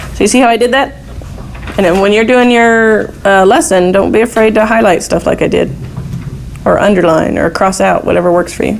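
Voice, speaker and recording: A woman of medium pitch speaks at a fairly quick pace with ordinary pitch variation and very even loudness, amid noticeable background noise and audible room echo. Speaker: math teacher. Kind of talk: classroom lecture.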